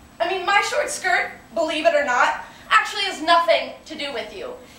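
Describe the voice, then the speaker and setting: The speech has lively intonation and audible room echo. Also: woman. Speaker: actress performing a monologue. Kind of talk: theatrical monologue, defiant and impassioned, delivered as a feminist performance piece. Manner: emphatic, defiant, building from angry and pointed to playful and celebratory. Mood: defiant, assertive. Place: classroom. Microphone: camera far.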